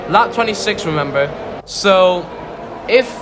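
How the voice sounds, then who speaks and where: Over music in the background and audible room echo, a man speaks with lively intonation at a high pitch. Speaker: video game race commentator. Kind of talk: live commentary. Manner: halting, stuttering.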